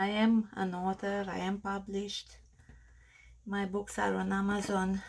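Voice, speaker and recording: A woman with a strong Romanian accent speaks very slowly at a medium pitch, her intonation monotone and flat. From Australia, Romanian family. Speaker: crafter. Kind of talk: tutorial. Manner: halting.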